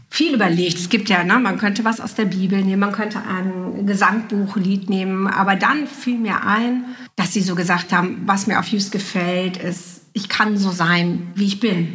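A woman speaks at a moderate pace with ordinary pitch variation, heard through audible room echo and noticeable background noise. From Juist, northern Germany. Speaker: writer and podcast host. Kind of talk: casual interview. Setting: at a coffee table in a home.

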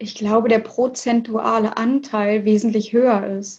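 A woman speaks very slowly in a flat monotone. Her voice is somewhat breathy. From Hannover, northern Germany. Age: 20s. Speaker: fashion label founder. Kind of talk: interview.

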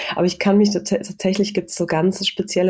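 Through noticeable background noise, a woman's voice comes at a moderate speed. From Saxony-Anhalt, Germany (rural village). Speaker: industrial designer and social entrepreneur. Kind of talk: interview.

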